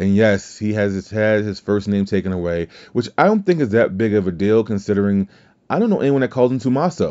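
A man with a fairly low pitch and ordinary pitch variation speaks with an American accent. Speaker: wrestling podcast host. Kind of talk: casual solo commentary. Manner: halting, many fillers and repeats.

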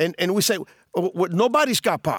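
A man speaks in a high voice with a Spanish accent and lively intonation, the sound dry and close with no echo. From Cuba. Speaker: former drug smuggler. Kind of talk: interview. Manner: halting, many fillers and repeated words.

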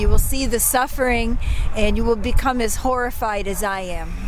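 Over music in the background, a woman with an American accent talks at a fairly slow pace. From US Midwest, Ohio. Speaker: pastor. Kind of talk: interview at a protest. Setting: outdoors at a protest.

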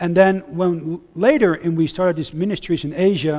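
A man with a Dutch accent speaks at a moderate pace in a high voice with ordinary pitch variation. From Netherlands. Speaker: missionary preacher. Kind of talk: sermon. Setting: church.

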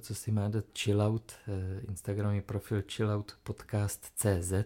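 A man speaks at a moderate pace and medium pitch in an ordinary speaking voice, on a very clean recording with a silent background. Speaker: podcast co-host. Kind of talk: casual chat. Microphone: new microphone.

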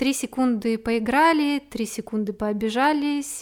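On a very clean recording with a silent background, a woman talks fairly slowly in a fairly high pitch with ordinary pitch variation. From Siberia, small town in Krasnoyarsk Krai. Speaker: podcaster and amateur poet. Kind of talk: personal monologue podcast; reading own poetry aloud. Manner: heartfelt, expressive reading.

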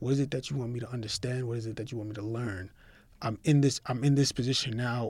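Somewhat breathy and fairly even in intonation, a man's voice comes through a very clean recording with a silent background. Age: 30s. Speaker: lawyer who founded his own law firm. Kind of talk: casual interview.

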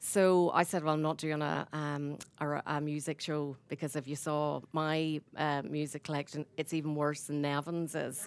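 A woman with a Northern Irish accent speaks in a very deep, low voice, flat and monotone, with hardly any pauses. The recording is very clean, with a silent background. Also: moderate pace. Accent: Northern Irish, idiosyncratic. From Northern Ireland, Ballymena. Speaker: radio presenter and producer. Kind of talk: on-stage interview. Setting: stage with audience.

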